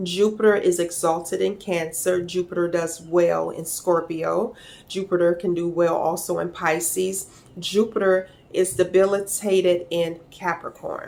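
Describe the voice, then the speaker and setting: A woman's fairly low-pitched voice with vocal fry, at a fairly slow pace. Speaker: astrology teacher. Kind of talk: tutorial. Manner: halting.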